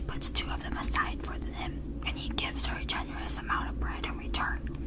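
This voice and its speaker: Soft-spoken whispering at a moderate pace over noticeable background noise. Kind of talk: whispered audiobook-style reading of a novel chapter. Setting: close-up microphone. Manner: whispered, soft.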